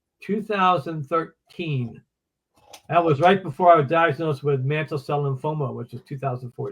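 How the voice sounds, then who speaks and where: Somewhat breathy and fairly high-pitched, a man talks at a moderate pace with big swings in loudness. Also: ordinary pitch variation. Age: 70s. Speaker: retired runner and writer. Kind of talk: interview. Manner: halting.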